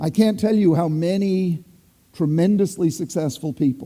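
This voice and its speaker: The man's tone is dark and mellow, and his pitch varies in an ordinary way. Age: 60s. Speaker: psychiatrist. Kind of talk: panel talk. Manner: animated; repeats words, halting at times.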